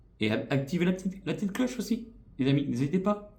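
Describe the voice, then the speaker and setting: At a very fast pace, a man swings very widely in pitch, his tone dark, mellow and somewhat breathy. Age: 40s. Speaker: YouTuber. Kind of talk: vlog channel introduction. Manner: hesitant, many fillers.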